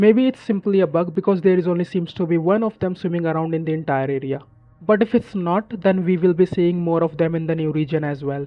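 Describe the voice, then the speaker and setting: Music plays in the background as a man with a high-pitched voice speaks at a very fast pace. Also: ordinary pitch variation. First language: not English. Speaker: gaming YouTuber. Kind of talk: scripted narration.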